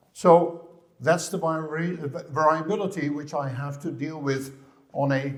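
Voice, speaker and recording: The speaker has a Dutch accent and fairly even intonation at a fairly slow pace. Audible room echo surrounds the voice. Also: man. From Netherlands. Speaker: physiotherapist. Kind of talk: conference lecture. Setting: stage with audience. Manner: halting, with repetitions.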